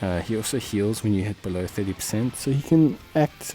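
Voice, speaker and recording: Noticeable background noise fills the clip. A man talks at a fairly low pitch. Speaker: gaming video creator. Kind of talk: game tutorial commentary. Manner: casual, filler-heavy; measured pace.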